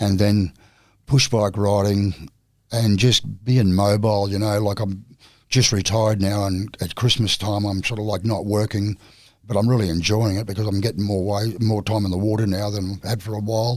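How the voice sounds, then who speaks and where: In an Australian accent, a man speaks at a moderate pace with a fairly low pitch. His intonation is monotone and flat, on a very clean recording with a silent background. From Australia, Queensland (North Stradbroke Island). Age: 60s. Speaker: surfer and retired carpenter. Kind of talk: casual interview chat.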